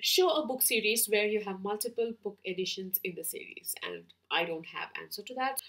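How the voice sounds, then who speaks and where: Speaking in an Indian accent, a woman keeps a moderate pace. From Kerala, India. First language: Malayalam. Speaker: book vlogger. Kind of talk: casual chat, book tag video. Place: home room.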